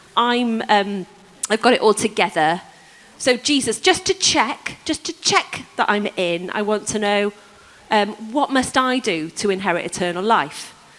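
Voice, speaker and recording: A woman speaks at a fairly slow pace in a fairly high pitch, her intonation lively, with noticeable background noise behind her. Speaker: preacher. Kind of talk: sermon. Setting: church service with congregation.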